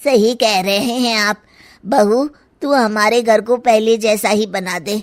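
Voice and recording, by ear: Using a cartoonish character voice, a woman speaks with fairly high pitch and fairly even intonation at a moderate pace.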